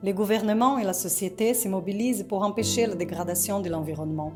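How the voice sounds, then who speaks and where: A woman with a Portuguese accent at a fairly quick pace, music in the background. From Rio de Janeiro, Brazil. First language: Portuguese (speaking French). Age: 40s. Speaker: reporter. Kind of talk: scripted narration.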